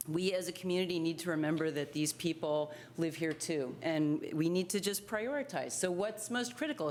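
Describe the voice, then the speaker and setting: Through noticeable background noise, a woman speaks at a moderate pace with ordinary pitch variation. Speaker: public commenter at school board meeting. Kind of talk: public comment speech.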